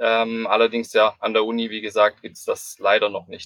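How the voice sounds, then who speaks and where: A man talks at a moderate pace. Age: 20s. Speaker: lean construction consultant, civil engineer. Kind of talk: interview. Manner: frequent filler hesitations.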